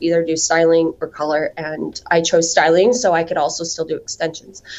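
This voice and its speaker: A woman talks at a fairly quick pace with an American accent. Her pitch is fairly low, in an ordinary speaking voice. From southern Utah. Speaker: salon owner and hair extensions entrepreneur. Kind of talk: interview.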